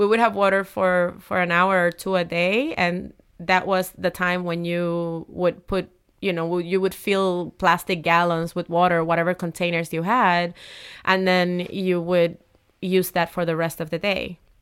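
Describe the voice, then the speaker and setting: On a very clean recording with a silent background, a woman with a Spanish accent speaks fairly slowly in a fairly low pitch and a monotone, flat intonation. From Puerto Rico, Humacao. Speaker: city council member and community organizer. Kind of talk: interview.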